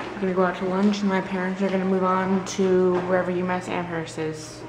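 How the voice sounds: At a moderate pace the speech runs on over clear background noise. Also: man.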